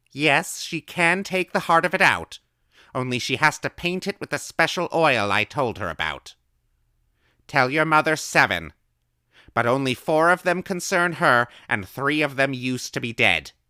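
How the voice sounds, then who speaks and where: A man puts on a character voice, raised and projected in a fairly high pitch with lively intonation. He keeps a moderate pace, and the sound is dry and close with no echo. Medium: read story. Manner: calm, thoughtful, unflustered.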